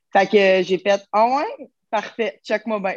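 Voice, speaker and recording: Speaking in a Quebec accent, a woman uses medium pitch with ordinary pitch variation, in a dry, close sound with no echo against a quiet background. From Quebec, Terrebonne. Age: 20s. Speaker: fitness coach. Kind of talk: casual chat.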